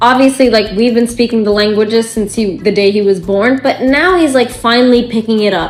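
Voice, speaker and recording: Over noticeable background noise, a woman with an American accent speaks at a fairly high pitch with ordinary pitch variation. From United States (Bangladeshi family). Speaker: mom vlogger. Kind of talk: casual vlog monologue. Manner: animated.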